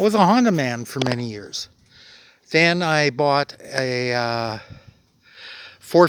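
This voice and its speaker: A man speaks at a very slow pace in a western Canadian accent. His tone is relaxed and his intonation lively. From Alberta, Canada. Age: 60s. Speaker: motorcycle vlogger. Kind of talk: casual vlog monologue. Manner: relaxed, many fillers (uh, um).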